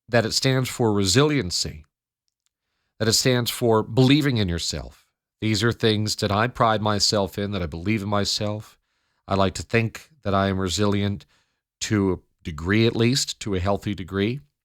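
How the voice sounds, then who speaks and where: An ordinary speaking voice from a man with an American accent, fairly low in pitch, with ordinary pitch variation at a moderate pace, on a very clean recording with a silent background. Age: 20s. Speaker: radio news anchor and talk show host. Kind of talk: late-night radio talk show monologue. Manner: personal, reflective, conversational.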